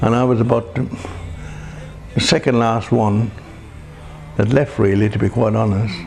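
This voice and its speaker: A man at a fairly low pitch and fairly slow pace, ordinary pitch variation and very even loudness, with music in the background. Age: 70s. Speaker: Irish immigrant, interviewee. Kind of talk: reminiscence interview.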